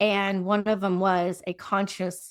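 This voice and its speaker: In a very clean recording with a silent background, a woman of medium pitch reads at a fairly slow pace with fairly even intonation, a plain, everyday voice. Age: 60s. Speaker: transformational coach. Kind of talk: casual chat.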